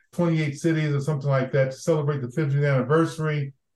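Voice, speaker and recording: The intonation is monotone and flat. The voice sounds somewhat breathy. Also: man. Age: old. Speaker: former diplomat and development leader. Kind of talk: interview conversation.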